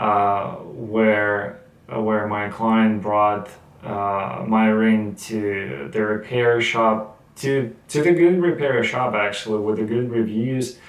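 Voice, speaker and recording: This man has a non-native accent and a fairly low pitch with ordinary pitch variation. He speaks at a very slow pace, and audible room echo surrounds his voice. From Russia. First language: Russian. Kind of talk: casual talk to camera. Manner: halting, with many fillers and repetitions.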